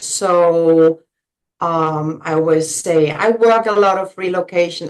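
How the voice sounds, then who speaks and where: Speaking with a German accent, a woman has a fairly low pitch. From Germany. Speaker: realtor. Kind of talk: interview.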